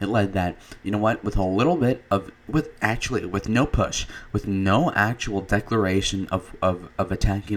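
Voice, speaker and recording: A man speaks quietly with ordinary pitch variation. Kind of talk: casual political commentary to camera. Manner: quiet, low energy.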